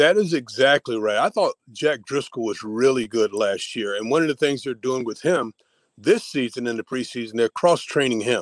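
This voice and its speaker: With a dry, close sound and no echo, a man speaks in a normal speaking voice at a medium pitch and moderate pace with ordinary pitch variation. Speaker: football analyst. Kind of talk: casual chat.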